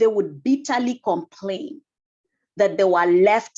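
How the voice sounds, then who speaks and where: A woman speaks with a Kenyan accent. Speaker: energy efficiency council member and housing asset manager. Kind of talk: presentation talk.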